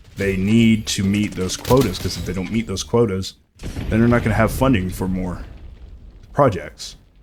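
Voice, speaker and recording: A man mumbles in an animated tone. His fairly low pitch shows ordinary pitch variation. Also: moderate pace. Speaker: gaming commentator. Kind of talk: unscripted live commentary. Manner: mumbling a little; animated, ranting.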